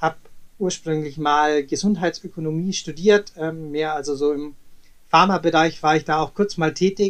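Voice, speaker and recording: Fairly high pitch for a man, with fairly even intonation and a moderate pace. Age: 30s. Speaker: travel company director and former swimmer. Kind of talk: interview. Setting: remote recording. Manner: hesitant, many filler sounds.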